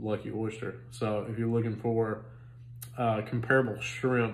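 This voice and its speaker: A man's somewhat breathy voice comes at a fairly slow pace with monotone, flat intonation. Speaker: food reviewer. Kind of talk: casual vlog chat. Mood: relaxed, amused. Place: home room. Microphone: phone near.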